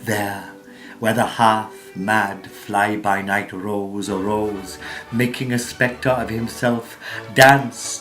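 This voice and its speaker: With music behind him, a man talks very slowly. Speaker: actor. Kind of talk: poetry reading.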